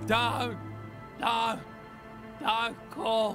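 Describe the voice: Over clear background music, a man projects a put-on character voice loudly.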